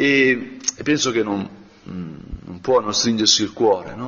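Speaking at a fairly slow pace, a man has a normal speaking voice with a medium pitch. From northern Italy, Brianza. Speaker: priest. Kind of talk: guided meditation.

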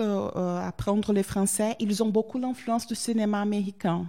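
Fairly even intonation marks this woman's dark, mellow tone. The recording is very clean, and the background is silent. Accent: Portuguese. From southern Brazil, Porto Alegre. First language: Portuguese (speaking French). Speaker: Brazilian visitor to France. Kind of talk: interview. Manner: hesitant with many fillers.

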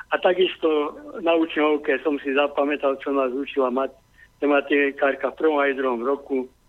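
Speaking with monotone, flat intonation, a man keeps a fairly high pitch. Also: moderate pace. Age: 50s. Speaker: caller. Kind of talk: call-in. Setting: phone call.

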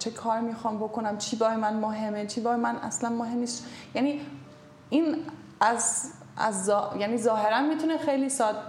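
The speaker has a German accent and ordinary pitch variation. There is noticeable background noise and audible room echo. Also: woman, fairly high pitch for a woman, moderate pace. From Germany, Munich. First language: German (speaking Persian). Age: 30s. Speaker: author and publisher. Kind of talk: interview. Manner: halting.

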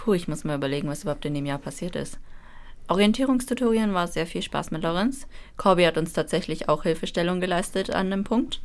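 At a very fast pace, a woman with a fairly low pitch and lively intonation speaks in a very clean recording with a silent background. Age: 20s. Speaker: university student. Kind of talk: casual chat. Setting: radio studio.

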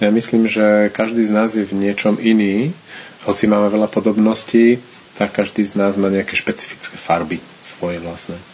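A fairly low-pitched man talks at a moderate pace with fairly even intonation as noticeable background noise continues. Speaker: interpreter. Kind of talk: consecutive interpreting. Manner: halting.

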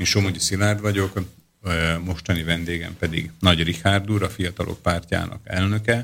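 At a moderate pace, the monotone, flat voice comes through on a very clean recording with a silent background. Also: man, very deep, low pitch for a man. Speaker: radio host. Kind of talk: interview. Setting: studio.

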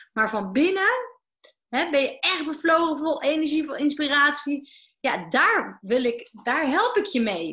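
A woman's raised, projected voice, high-pitched with a bright, sharp tone, very wide pitch swings and a fairly slow pace. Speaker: business coach. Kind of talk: interview. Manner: halting.

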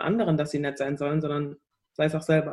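Her very deep, low voice stays monotone and flat as the woman speaks. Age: 20s. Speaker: singer-songwriter. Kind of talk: interview. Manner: hesitant, many fillers.

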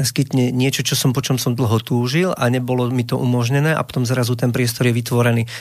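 At a fairly quick pace, a man speaks in a monotone, flat way at a medium pitch. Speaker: singer-songwriter. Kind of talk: radio interview. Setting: radio studio.

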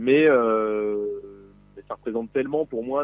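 The sound is dry and close, with no echo. A man speaks at medium pitch with ordinary pitch variation. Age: 30s. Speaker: Tour de France caravan member. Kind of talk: radio interview. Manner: halting, many hesitations.

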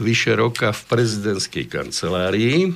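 Talking fairly slowly, a man keeps to a medium pitch. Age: 60s. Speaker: defense lawyer. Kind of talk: studio interview. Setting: studio. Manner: halting.

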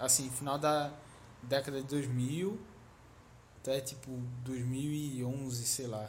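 Amid audible room echo, a man with a somewhat breathy, medium-pitched voice speaks at a very slow pace with fairly even intonation and long, frequent pauses. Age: 20s. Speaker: podcast co-host. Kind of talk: casual chat.

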